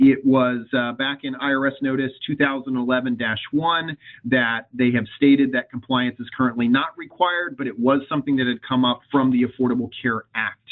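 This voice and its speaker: This man's voice sits at a medium pitch with fairly even intonation. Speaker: webinar presenter on benefits compliance. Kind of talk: webinar presentation. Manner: fast.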